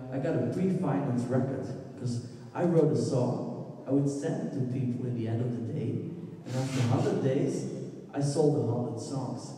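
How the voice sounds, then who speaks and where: A man speaks at a medium pitch and a moderate pace. There is strong room echo and light background noise. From Belgium. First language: Dutch. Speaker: musician. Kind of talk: presentation talk. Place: hall. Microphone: handheld.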